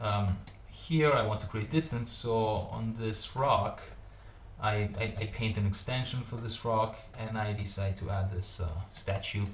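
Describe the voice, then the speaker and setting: Through noticeable background noise, a man's fairly low voice comes across with ordinary pitch variation. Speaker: digital artist. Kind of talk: tutorial. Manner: halting, many fillers and repeats.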